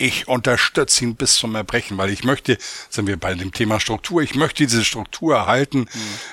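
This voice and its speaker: At a moderate pace, a man talks at medium pitch in a bright, sharp tone. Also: ordinary pitch variation. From Hamburg, northern Germany. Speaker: chief economist. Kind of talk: interview.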